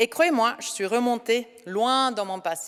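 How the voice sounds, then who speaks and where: A woman's high voice in a Norwegian accent, with lively intonation. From Norway. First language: Norwegian (speaking French). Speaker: ceremony speaker. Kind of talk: speech. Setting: hall with audience.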